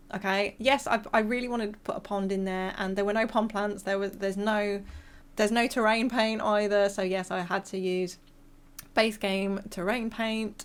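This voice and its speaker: A woman with a British accent talks at a moderate pace in a medium pitch. Her intonation is monotone and flat, and the recording is very clean with a silent background. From England, near countryside. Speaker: gaming YouTuber. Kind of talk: casual voice-over commentary. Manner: casual, hesitant with fillers.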